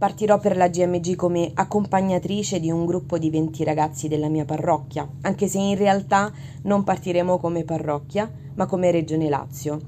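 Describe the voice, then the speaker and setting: Her pitch fairly low, a woman speaks with a dark, mellow tone. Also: ordinary pitch variation, moderate pace. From Italy. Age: 20s. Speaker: religion teacher. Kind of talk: testimony.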